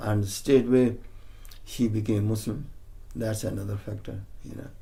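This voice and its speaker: In a strong Punjabi accent, a man speaks with a dark, mellow, somewhat breathy tone and a fairly low pitch. Long, frequent pauses break his speech amid audible room echo. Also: big swings in loudness. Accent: Punjabi, still strong. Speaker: interviewee. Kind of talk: oral history interview. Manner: halting.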